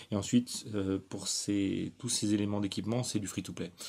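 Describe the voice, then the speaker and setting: At a moderate pace, a man speaks in a plain, everyday voice, fairly low in pitch with fairly even intonation. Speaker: gaming YouTuber. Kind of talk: tutorial.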